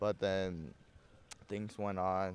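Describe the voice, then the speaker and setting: A man with a Burmese accent speaks at a very deep, low pitch. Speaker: podcast host. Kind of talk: casual chat. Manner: halting, many repeated words and fillers.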